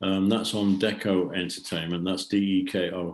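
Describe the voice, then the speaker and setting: With an English accent, a man speaks in a very deep, low voice at a moderate pace. His intonation is monotone and flat. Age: 70s. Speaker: rock drummer. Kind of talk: podcast interview.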